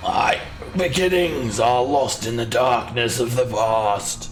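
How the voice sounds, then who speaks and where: Clear background noise sits behind a man doing a put-on character voice. His pitch is medium and his pace fairly slow. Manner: menacing, eerie.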